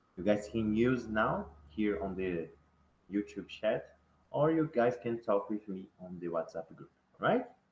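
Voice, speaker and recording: In a Brazilian accent, a man with a fairly low voice talks at a fairly slow pace with lively intonation. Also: big swings in loudness. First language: Portuguese. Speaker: online course teacher. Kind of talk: online class lecture. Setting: YouTube live stream. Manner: halting, repetitive.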